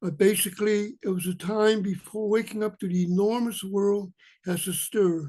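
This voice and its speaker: The man's voice is high in pitch, with fairly even intonation. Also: moderate pace. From China, raised in Washington State. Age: 70s. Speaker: poet. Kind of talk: poetry reading.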